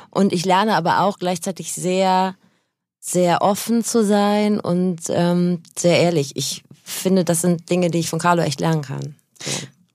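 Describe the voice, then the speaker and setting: A woman's unremarkable speaking voice, fairly low in pitch, with fairly even intonation, on a very clean recording with a silent background. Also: fairly slow pace. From North Rhine-Westphalia. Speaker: radio presenter and podcaster. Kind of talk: casual chat. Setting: studio.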